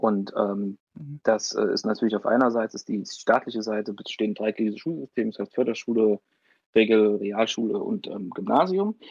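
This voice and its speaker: This is a man with a medium pitch and ordinary pitch variation. He talks at a moderate pace. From Thuringia, Germany (Weimar area). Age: 20s. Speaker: youth party politician and law student. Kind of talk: podcast interview. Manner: hesitant, many filler sounds.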